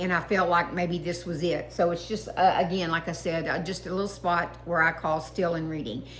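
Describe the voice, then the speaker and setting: With a Texas accent, a woman talks in a monotone, flat intonation at a fairly low pitch. Noticeable background noise and audible room echo surround her voice. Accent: Texas twang. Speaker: online Bible reader. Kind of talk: reading aloud and personal reflection. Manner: halting, many fillers.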